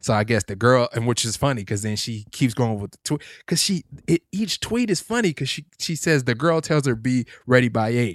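In a normal speaking voice of medium pitch, a man talks at a moderate pace with lively intonation, the sound dry and close with no echo and the recording very clean with a silent background. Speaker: podcast co-host. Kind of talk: casual chat. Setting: studio.

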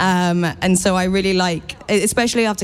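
A woman with an American accent speaks at a medium pitch and fairly even intonation. Noticeable background noise sits behind her voice. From England, with an American mother from Queens. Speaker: animator and TV series creator. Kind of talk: interview.

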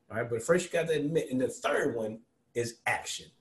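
Fairly quick, somewhat breathy speech from a man. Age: 40s. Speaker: financial planner and professor. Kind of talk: casual interview.

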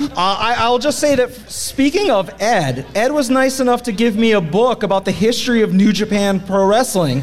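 With lively intonation, a high pitch for a man, very even loudness and hardly any pauses, he speaks at a moderate pace over noticeable background noise. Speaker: wrestling podcast host. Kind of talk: casual chat, comedic banter. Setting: stage with live audience.

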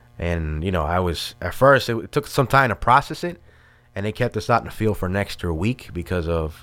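Very deep and low, this man's voice carries a New York accent. He moves at a fairly quick pace. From New York City, Brooklyn. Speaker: army veteran, veteran services leader. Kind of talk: casual interview.

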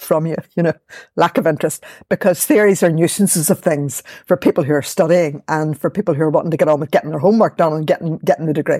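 Speaking in a Belfast accent at a fairly quick pace, a woman has a very deep, low pitch, a dark, mellow tone and ordinary pitch variation, in a very clean recording with a silent background and a dry, close sound with no echo. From Northern Ireland, West Belfast. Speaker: academic and poet. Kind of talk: interview conversation.

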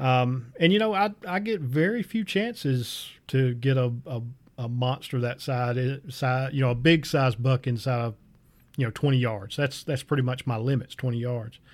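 Here a man speaks at a medium pitch and a moderate pace. He has a normal speaking voice with ordinary pitch variation. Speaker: podcast host. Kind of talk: interview.

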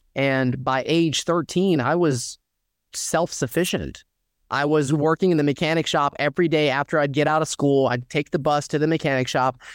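A man with a normal speaking voice and an American accent speaks at a moderate pace with fairly high pitch and fairly even intonation. His loudness stays very even on a very clean, dry, close recording with no echo and a silent background. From US South, Dalton, Georgia. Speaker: personal injury lawyer. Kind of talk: interview.

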